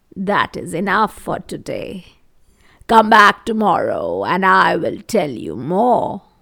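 A woman uses a put-on character voice with a bright, sharp tone and vocal fry, speaking slowly at a fairly low pitch with big pitch swings.

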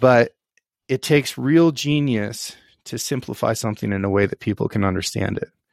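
A man with an American accent and a plain, everyday voice speaks at a medium pitch and a moderate pace, with ordinary pitch variation and a dry, close sound with no echo. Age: 30s. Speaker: outfitter, rancher and former Marine officer. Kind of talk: casual chat.

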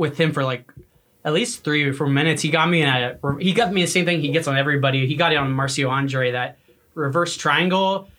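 A man with an American accent talks at a very fast pace. His pitch is fairly high, with ordinary pitch variation. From US Midwest (Missouri, then Arkansas). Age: 20s. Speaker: jiu-jitsu brown belt. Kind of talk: casual chat.

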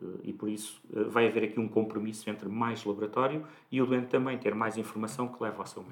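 Racing at a very fast pace, a man with a medium pitch keeps a fairly even intonation while his loudness swings a lot. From Portugal, Santarém. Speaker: clinical lab director, pharmacist. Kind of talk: interview.

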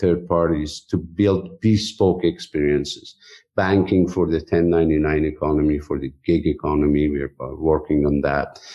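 A man speaking very slowly in a Persian accent. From Iran. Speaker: technology executive. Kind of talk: interview.

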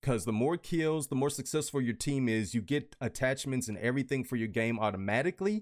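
A man speaks at a medium pitch and a fairly quick pace with lively intonation, on a very clean recording with a silent background. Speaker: gaming podcast host and streamer. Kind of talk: casual chat. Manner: loud and animated.

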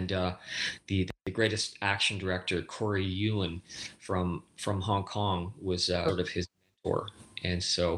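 Over a silent background in a very clean recording, a man speaks at a moderate pace with a very deep, low pitch, very even loudness and a monotone, flat intonation. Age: 40s. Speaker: stunt performer and director. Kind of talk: casual chat.

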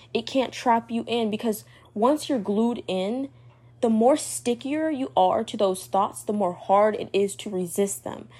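A woman at a fairly slow pace with lively intonation. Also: fairly high pitch for a woman. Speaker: solo podcast host on mental health. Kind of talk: casual monologue advice talk. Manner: hesitant, many fillers.

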